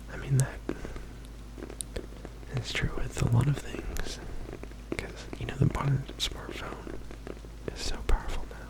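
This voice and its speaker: A man is whispering, soft-spoken and fairly slow, with long, frequent pauses. Noticeable background noise can be heard. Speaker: ASMR creator. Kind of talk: ASMR facts reading. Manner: whispered, soft-spoken.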